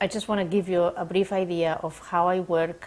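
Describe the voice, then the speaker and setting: Slowish and monotone with flat intonation, a woman speaks in a Spanish accent at a fairly slow pace. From Spain. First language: Spanish or Catalan. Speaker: sport psychologist. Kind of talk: demonstration counseling session. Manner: hesitant, many fillers.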